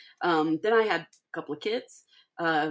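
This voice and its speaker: A woman with an American accent speaks at a moderate pace. The recording is very clean, with a silent background. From Missouri Ozarks (Laclede County). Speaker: podcast host. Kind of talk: casual monologue introduction. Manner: halting with many fillers.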